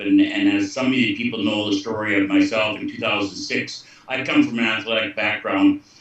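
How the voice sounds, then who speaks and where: A man talks at a moderate pace with an American accent over noticeable background noise. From US Midwest, Iowa. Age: 60s. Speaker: former hockey player giving testimonial. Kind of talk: testimony on group call. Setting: group call from lake home.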